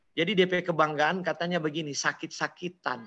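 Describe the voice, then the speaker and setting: Bright and sharp in tone, a man's high voice moves at a fairly quick pace. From Manado, North Sulawesi, Indonesia. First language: Manado Malay (speaking Indonesian). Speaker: preacher. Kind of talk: sermon. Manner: animated.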